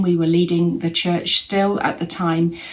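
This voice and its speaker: Here a woman with an English accent talks at a moderate pace. Her pitch is fairly low. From England. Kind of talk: testimony.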